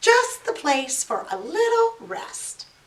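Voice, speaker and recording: This woman adopts a squeaky, put-on character voice. Her pitch is extremely high and her pace fairly slow. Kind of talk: bedtime story. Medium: read story.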